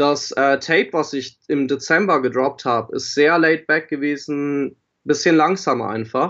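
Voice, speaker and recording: The delivery is fairly slow. Intonation remains fairly even throughout. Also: man. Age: 20s. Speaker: rapper and audio production student. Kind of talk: casual interview. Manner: hesitant, many fillers.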